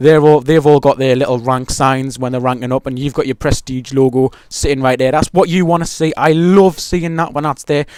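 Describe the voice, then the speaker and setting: This man has an English accent and a fairly high pitch. His intonation stays fairly even. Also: hardly any pauses. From England. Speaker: gaming YouTuber. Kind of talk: gameplay commentary. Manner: casual, rambling with fillers.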